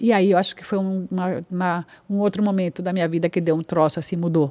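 A woman in a Spanish accent speaks at a moderate pace in a fairly low pitch and a dark, mellow tone, with a dry, close sound and no echo. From Colombia. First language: Spanish (speaking Portuguese). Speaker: actress. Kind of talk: casual chat.

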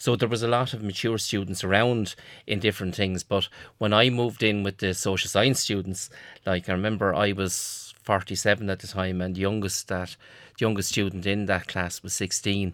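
A man with an Irish accent, fairly low in pitch, with fairly even intonation at a fairly quick pace, on a very clean recording with a silent background. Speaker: college graduate, former mature student. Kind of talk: casual chat.

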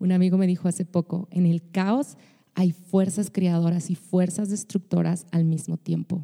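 In a dry, close sound with no echo, a woman speaks fairly slowly with a dark, mellow, somewhat breathy tone, fairly low pitch, very even loudness, and fairly even intonation. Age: 30s. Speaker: podcast host, pastor and singer. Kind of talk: personal podcast monologue.

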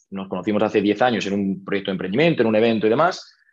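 A man speaks in an ordinary speaking voice, fairly low in pitch, with fairly even intonation over a quiet background. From Spain, Toledo. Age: 30s. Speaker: real estate investor. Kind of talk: interview.

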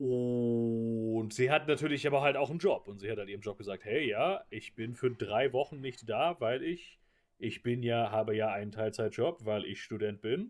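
This man has an unremarkable speaking voice at medium pitch. His pitch varies in an ordinary way. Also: moderate pace. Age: 20s. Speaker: podcast co-host. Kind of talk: casual chat.

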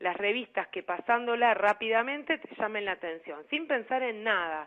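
The woman's intonation is lively. She talks at a fairly slow pace. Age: 50s. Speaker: life coach. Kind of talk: radio interview.

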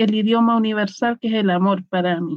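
A woman with a fairly high pitch talks at a moderate pace with fairly even intonation. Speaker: tarot reader and shamanic practitioner. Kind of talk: casual chat. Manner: simple plain speech.

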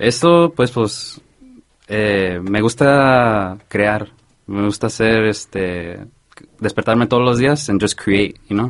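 Very slowly, a man speaks at a fairly low pitch with ordinary pitch variation. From Santa Ana, California. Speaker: DJ. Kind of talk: casual chat. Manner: code-switching Spanish and English; halting.

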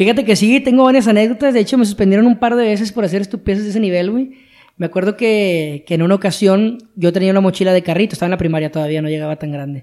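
Talking at a very fast pace with a Mexican accent, a man uses a high pitch and ordinary pitch variation. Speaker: podcast co-host. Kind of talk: casual chat.

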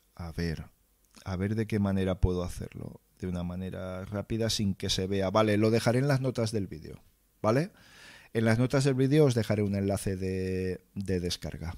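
The recording is very clean, with a silent background. A man with a plain, everyday voice and a fairly low pitch talks at a moderate pace with ordinary pitch variation. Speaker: livestream host, tech content creator. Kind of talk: casual livestream chat reading viewer comments. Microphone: close mic, near clipping.

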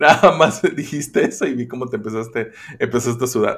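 On a very clean recording with a silent background, a man with a medium pitch talks in an animated tone at a fairly quick pace. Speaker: podcast host. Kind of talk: casual chat.

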